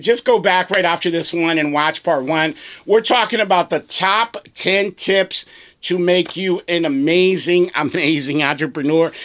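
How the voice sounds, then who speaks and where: A man's animated, high-pitched voice at a fairly slow pace, with ordinary pitch variation. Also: very clean recording, silent background. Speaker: business coach and pressure washing business owner. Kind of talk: casual video talk.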